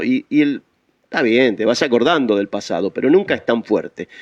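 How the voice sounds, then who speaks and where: A man with a Rioplatense accent at a fairly quick pace, with very wide pitch swings. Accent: Argentine Rioplatense Spanish. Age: old. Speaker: radio host. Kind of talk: radio interview. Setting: studio.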